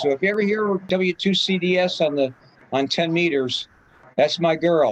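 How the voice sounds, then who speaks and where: Pitch varies in an ordinary way. The voice carries an American accent. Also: man. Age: 70s. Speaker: amateur radio operator, invited speaker. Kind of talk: club talk Q&A wrap-up. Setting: video call. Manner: casual, rambling with fillers.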